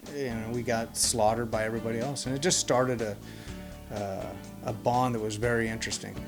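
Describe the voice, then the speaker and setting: Music plays in the background as the speaker talks at a fairly quick pace. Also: man. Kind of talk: interview answer.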